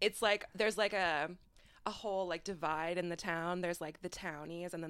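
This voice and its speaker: An unremarkable speaking voice with an American accent, moderate pace and fairly even intonation, on a very clean recording with a silent background. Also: woman. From Iowa. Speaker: podcast host, social media influencer. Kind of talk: casual chat.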